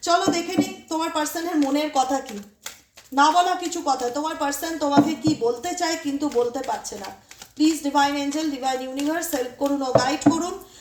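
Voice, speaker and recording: A loud woman speaks in a high voice with ordinary pitch variation over noticeable background noise. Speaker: tarot reader. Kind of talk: tarot reading monologue.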